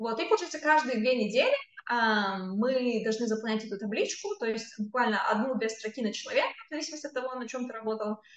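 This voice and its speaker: A woman's fairly high voice rushes along at a very fast pace, with ordinary pitch variation and noticeable background noise behind it. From Kazakhstan. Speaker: tech company employee. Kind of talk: interview.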